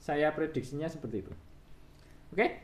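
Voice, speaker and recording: A man with a fairly high pitch talks with vocal fry. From Indonesia. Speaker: guitar shop owner and technician. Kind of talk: video tutorial / product showcase. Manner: casual, repetitive fillers. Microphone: phone near.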